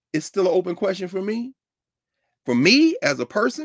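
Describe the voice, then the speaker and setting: A man against a quiet background. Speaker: professor and co-host of a history class show; lecturer, discussion host. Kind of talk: casual educational talk; discussion commentary. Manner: loud. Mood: thoughtful, firm. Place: home room. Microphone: webcam.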